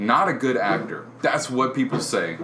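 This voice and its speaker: With audible room echo and noticeable background noise, a man speaks at a moderate pace and a medium pitch, with lively intonation. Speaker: podcast co-host. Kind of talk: casual chat. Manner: loud.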